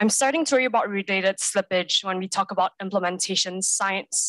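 A woman talks at a very fast pace with ordinary pitch variation. The sound is dry with no echo, and the background is quiet. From global south country. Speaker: conference audience member asking a question; conference audience member. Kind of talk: conference Q&A question. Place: hall. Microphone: handheld.

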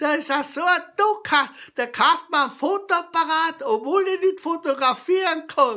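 A man with a Carinthian accent, his raised, projected voice bright and sharp in tone, at a moderate pace over a quiet background. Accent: Carinthian Austrian dialect. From Carinthia, Austria. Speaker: comedy storyteller. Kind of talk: humorous joke telling to camera. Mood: jovial, humorous. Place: kitchen. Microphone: webcam.

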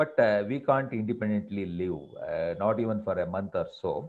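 A man speaks with an Indian accent. His voice sits at a fairly low pitch. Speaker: professor and former scientist, guest speaker. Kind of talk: webinar lecture. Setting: video call webinar. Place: home room. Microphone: earbuds.

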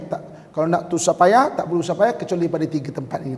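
High pitch from a man, with ordinary pitch variation. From Malaysia. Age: middle-aged. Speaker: religious teacher. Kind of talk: mosque lecture. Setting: mosque. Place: hall. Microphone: podium.

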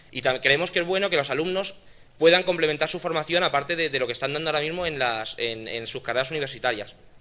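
A man talks very fast, his pitch rising and falling in an ordinary way. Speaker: event organizer. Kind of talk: event closing and award ceremony. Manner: hesitant, repeats words. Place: hall. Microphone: podium.

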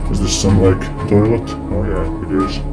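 A man speaks over clear music in the background. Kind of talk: casual exploration commentary. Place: home room. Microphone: phone near.

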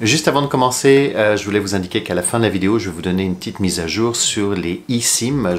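With light background noise behind him, a man speaks at a fairly quick pace with ordinary pitch variation. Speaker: flight attendant travel vlogger. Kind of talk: casual vlog chat. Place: home room.

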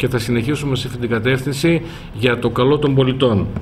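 Over light background noise, a man speaks at a moderate pace in a monotone, flat intonation. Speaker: mayor. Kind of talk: press conference statement. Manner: formal. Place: meeting room. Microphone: podium.

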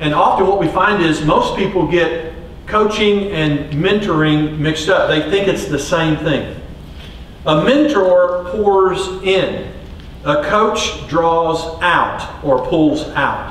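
A man with a high pitch talks at a very slow pace, keeping very even loudness and ordinary pitch variation, with audible room echo and light background noise. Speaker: coach giving a talk. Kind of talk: lecture. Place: stage.

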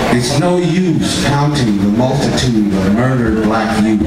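A man's voice carries audible room echo under loud background noise. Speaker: poet. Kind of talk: poetry reading. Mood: grave, indignant. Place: stage. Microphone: pa.

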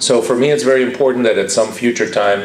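Noticeable background noise runs behind a man's voice. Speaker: architect and professor. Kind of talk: conference speech. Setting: conference hall with live audience.

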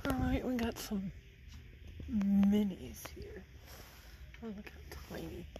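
In a room with audible echo and noticeable background noise, a woman speaks at a very slow pace with long, frequent pauses and big swings in loudness. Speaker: vlogger and online reseller. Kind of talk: casual walkthrough narration. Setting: antique store, handheld camera.

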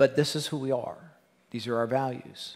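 In an ordinary speaking voice, a man talks at a moderate pace with fairly high pitch and fairly even intonation against a quiet background. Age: 50s. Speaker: pastor. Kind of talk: sermon. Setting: church. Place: church. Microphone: headset.

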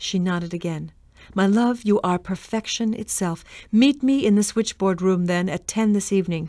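The delivery is a reading voice that sounds natural.

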